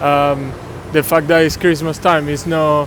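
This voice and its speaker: A man with a Venezuelan accent speaks over noticeable background noise. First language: Spanish. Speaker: passer-by interviewee. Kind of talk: street interview. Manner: hesitant, many filler sounds.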